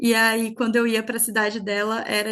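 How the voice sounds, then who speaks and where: A woman with a normal speaking voice and fairly high pitch talks at a moderate pace over a quiet background. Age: 20s. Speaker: podcast co-host, photographer. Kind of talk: casual chat.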